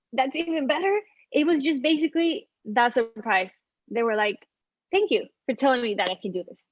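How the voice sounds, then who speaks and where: A woman at a moderate pace, with very wide pitch swings and a dry, close sound free of echo. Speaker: architectural designer. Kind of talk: interview.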